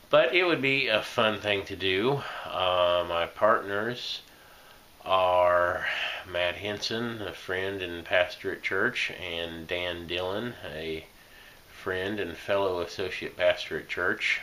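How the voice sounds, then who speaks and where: A man with an American accent speaks at a very slow pace. His pitch is very deep and low. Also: ordinary pitch variation. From Indiana. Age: 40s. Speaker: associate pastor and quiz show applicant. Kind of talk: application video monologue. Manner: halting, many fillers.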